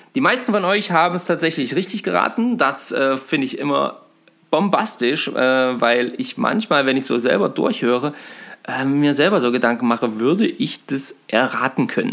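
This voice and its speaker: Very wide pitch swings in a man's moderately paced, fairly high voice. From Thuringia, Germany (Eisenberg). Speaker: fishing podcast host. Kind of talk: casual chat. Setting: friends' living room.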